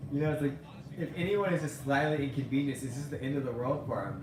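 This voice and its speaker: A man with a Californian accent at a fairly high pitch, with audible room echo and noticeable background noise. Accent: California. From California, Central Coast. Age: 30s. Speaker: vlogger. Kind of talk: casual vlog monologue. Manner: animated.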